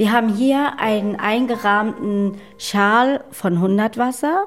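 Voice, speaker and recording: Amid noticeable background noise, a woman with a fairly high pitch speaks at a very slow pace. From Hamburg, Germany (born in Namibia, adopted at two). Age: 20s. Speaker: adoptee, aspiring actress. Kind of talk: personal testimony.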